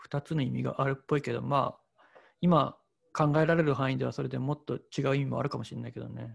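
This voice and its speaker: Speaking at a fairly quick pace, a man's voice shows big swings in loudness. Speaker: painter. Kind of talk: casual chat.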